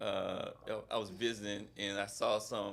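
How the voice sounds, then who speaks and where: A man is talking. He speaks with an American accent. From Bradenton, Florida. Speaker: mental health professional, founder and CEO. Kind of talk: interview answer. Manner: casual, conversational.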